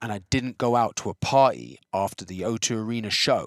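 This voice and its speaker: A man with an English accent, fairly low pitch and fairly even intonation, on a very clean recording with a silent background. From England. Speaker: choreographer and creative director. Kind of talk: casual chat. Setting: in a car.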